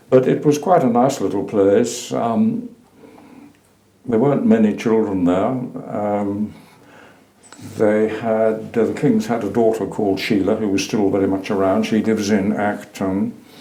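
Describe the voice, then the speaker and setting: Audible room echo surrounds a man who speaks fairly slowly with a fairly low pitch. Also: ordinary pitch variation. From Suffolk, eastern England. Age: 80s+. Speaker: retired teacher and lecturer. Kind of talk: oral history interview. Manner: hesitant, with fillers.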